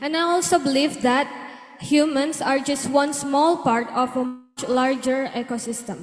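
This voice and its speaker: Over noticeable background noise, a woman with an Indonesian accent speaks at a fairly slow pace and high pitch, with ordinary pitch variation. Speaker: student audience member. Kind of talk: question at seminar.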